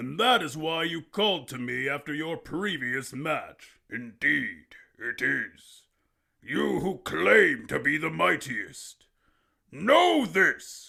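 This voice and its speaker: A man's put-on character voice, raspy and fairly high-pitched, at a very slow pace, in a very clean recording with a silent background. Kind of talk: audio drama dialogue.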